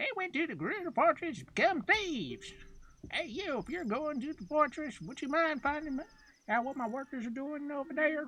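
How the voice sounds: A put-on character voice speaks at a moderate pace. Its pitch is high.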